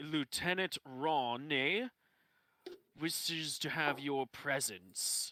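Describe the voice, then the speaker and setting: A man uses a put-on character voice at a fairly high pitch and a very slow pace. The sound is dry and close, with no echo. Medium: actual play. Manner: blunt, offhand.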